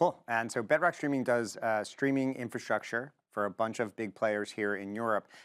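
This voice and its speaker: Heard on a very clean recording with a silent background and a dry, close sound with no echo, a man with an unremarkable speaking voice and an American accent talks at a medium pitch and moderate pace, with ordinary pitch variation and hardly any pauses. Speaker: podcast host. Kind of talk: casual chat.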